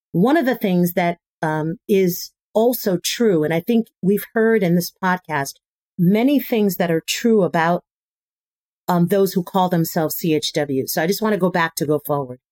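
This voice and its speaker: A woman with an unremarkable speaking voice talks at a moderate pace and a medium pitch. Her pitch varies in an ordinary way, and her loudness stays very even. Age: 50s. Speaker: community health worker, association director. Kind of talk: panel discussion.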